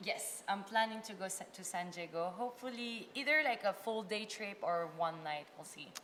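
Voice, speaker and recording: At a moderate pace with hardly any pauses, a woman talks in a medium pitch with ordinary pitch variation and big swings in loudness. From France, Filipino family. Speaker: content creator. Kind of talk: casual chat.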